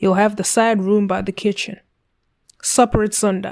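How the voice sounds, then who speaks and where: A put-on character voice from a woman, gravelly and medium-pitched, with monotone, flat intonation at a moderate pace. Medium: read story. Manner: terse, few words.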